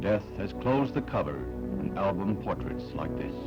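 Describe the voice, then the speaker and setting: A man at a moderate pace, his pitch swinging very widely, with music in the background. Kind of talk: newsreel narration. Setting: archival film soundtrack. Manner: solemn, dramatic.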